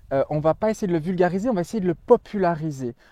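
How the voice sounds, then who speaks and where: A man's loud, dark, mellow voice at a very fast pace with lively intonation, dry and close with no echo, against a quiet background. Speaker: magazine editor and video host. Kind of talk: promotional monologue.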